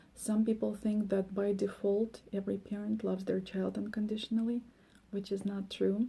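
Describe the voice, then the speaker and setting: With a Russian accent, a woman speaks at a medium pitch in a dark, mellow, somewhat breathy tone with monotone, flat intonation. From former Soviet Union. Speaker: life coach. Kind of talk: monologue. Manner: hesitant, many fillers.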